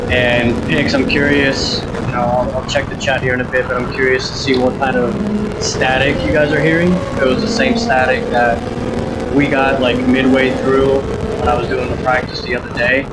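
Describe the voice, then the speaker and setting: Audible room echo and noticeable background noise surround a man speaking at a moderate pace, his medium pitch showing ordinary variation. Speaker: sim racing streamer. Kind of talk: live gameplay commentary. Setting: livestream with game audio. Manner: loud; animated. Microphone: audio issues, static.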